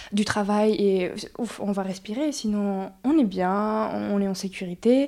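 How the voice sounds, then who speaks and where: The voice has a dark, mellow tone and moves at a very slow pace. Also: woman. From Mexico (Mexico City, Oaxaca). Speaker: breathwork facilitator. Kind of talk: interview. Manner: gentle.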